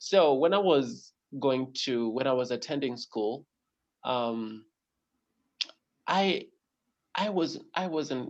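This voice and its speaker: Very slow delivery with long, frequent pauses and lively intonation. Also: man, medium pitch for a man. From eastern Kenya. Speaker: self-help author. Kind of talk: casual chat. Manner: halting, many fillers and repeats.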